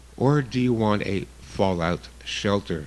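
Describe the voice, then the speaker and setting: Lively intonation marks this man's speech. His pitch is fairly low. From Canada. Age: 60s. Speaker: guest radio host, survivalist. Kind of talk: radio talk show monologue. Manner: casual, some hesitations.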